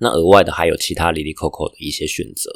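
A man with a Taiwanese accent, in a dry, close sound with no echo, on a very clean recording with a silent background. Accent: Taiwanese Mandarin. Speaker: podcaster and international student. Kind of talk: casual vlog narration. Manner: hesitant with fillers.

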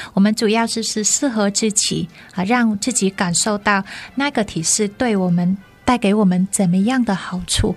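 A woman speaks at a moderate pace with a medium pitch and fairly even intonation. Music plays in the background. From northern Vietnam, Hanoi. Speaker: yoga teacher and Vietnamese teacher. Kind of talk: radio interview; yoga instruction.

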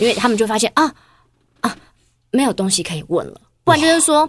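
A woman talks at a very fast pace with vocal fry. Her pitch swings very widely. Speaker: TV and radio host. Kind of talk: casual chat. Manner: steady, composed; chatty.

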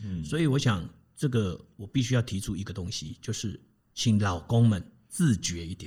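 Somewhat breathy speech comes at a moderate pace on a very clean recording with a silent background. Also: man, fairly low pitch for a man, lively intonation. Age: 50s. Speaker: personal coach and family educator. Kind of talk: interview, advice talk.

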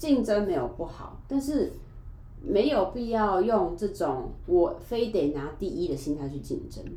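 A woman's fairly high, dark and mellow voice with a Taiwanese accent, vocal fry, very wide pitch swings and a fairly slow pace, in audible room echo. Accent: Taiwanese Mandarin. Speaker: podcast guest, YouTuber. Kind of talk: casual chat.

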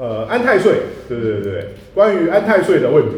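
Very wide pitch swings over noticeable background noise and audible room echo. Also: man. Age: middle-aged. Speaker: podcast co-host, feng shui teacher. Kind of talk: casual chat. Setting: room with echo in a new home.

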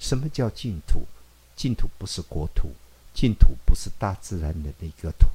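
The tone is dark and mellow, with vocal fry throughout. The pace is fairly slow while the pitch swings very widely. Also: man. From rural Taiwan. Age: 50s. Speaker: pediatrician. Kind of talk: interview.

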